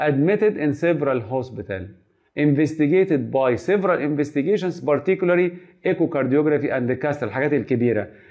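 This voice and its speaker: A man speaks at a fairly quick pace with lively intonation and a Cairo accent against a quiet background. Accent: Egyptian Arabic (Cairene). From Egypt. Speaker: medical lecturer. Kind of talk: lecture. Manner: animated. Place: classroom.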